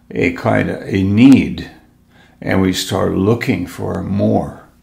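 His voice fairly low in pitch and slightly mellow, a man speaks with vocal fry and ordinary pitch variation.

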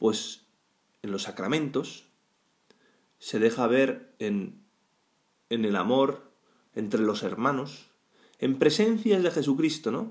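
A man with a Spanish accent, medium pitch and very wide pitch swings, at a very slow pace with long, frequent pauses. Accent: Peninsular Spanish. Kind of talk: weekday Mass homily, exhorting the congregation directly on faith and healing. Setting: church, during Mass. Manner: fervent, pleading second-person appeals with rhetorical questions; conversational and halting, frequent false starts and tag questions.

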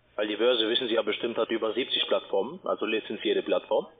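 There is light background noise as a man speaks at a fairly quick pace. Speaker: scam call-centre agent. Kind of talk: sales pitch. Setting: phone call. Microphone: phone line.

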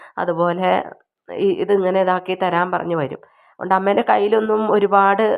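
A woman speaks at a medium pitch. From Kerala, Wayanad. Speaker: YouTube home remedy vlogger. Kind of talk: cooking tutorial. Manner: casual, halting.

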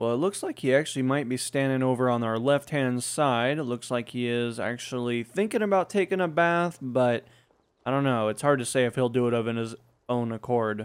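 A man's ordinary speaking voice at medium pitch, with ordinary pitch variation and a fairly quick pace. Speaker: gaming YouTuber. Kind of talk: let's play commentary. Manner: casual.

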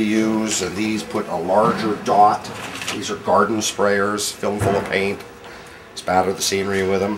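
Noticeable background noise sits behind a man speaking at a fairly low pitch with monotone, flat intonation. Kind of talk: workplace tour explanation. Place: workshop. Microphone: camera far.

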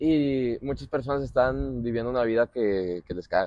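Against a quiet background, a man with a Mexican accent speaks in a dry sound with no echo. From Mexico. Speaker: podcast host, former footballer; podcast host. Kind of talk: casual chat. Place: garden. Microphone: lapel.

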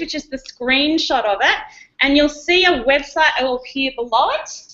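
Against a quiet background, a woman with an Australian accent speaks at a moderate pace. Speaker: educational technology presenter. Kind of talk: conference workshop presentation. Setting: conference room with live audience, streamed online. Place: classroom.

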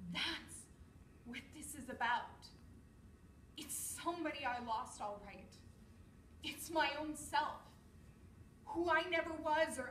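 A woman with a high pitch speaks at a very slow pace, using lively intonation and long, frequent pauses. Audible room echo and light background noise are present. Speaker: actor rehearsing a monologue. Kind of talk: dramatic monologue performance. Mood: emotional, weary, resigned. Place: empty room. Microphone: camera far.

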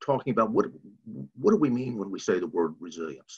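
A man speaking against a quiet background. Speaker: nonprofit staff and presenter. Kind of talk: webinar presentation. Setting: online webinar. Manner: halting, many repetitions. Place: home room. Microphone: video call.

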